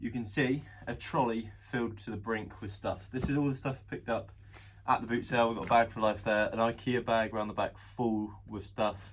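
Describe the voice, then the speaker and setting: This man talks at a fairly quick pace with a southern English accent. His pitch is medium and his intonation fairly even. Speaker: reseller vlogger. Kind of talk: casual vlog monologue. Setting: shop floor. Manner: hesitant, with pauses.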